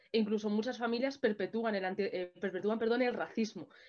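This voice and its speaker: Speaking at a moderate pace, a woman keeps a fairly high pitch and fairly even intonation. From Madrid, Spain; Spain. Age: 20s. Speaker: martial arts champion and anti-racism activist. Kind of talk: panel discussion. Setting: online video event. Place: home room. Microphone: webcam.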